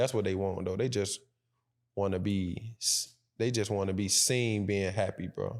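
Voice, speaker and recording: A man with a fairly low pitch speaks at a moderate pace with very even loudness and fairly even intonation. The recording is very clean, with a silent background. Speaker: podcast co-host. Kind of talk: casual chat. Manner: even pitch, rarely raises voice.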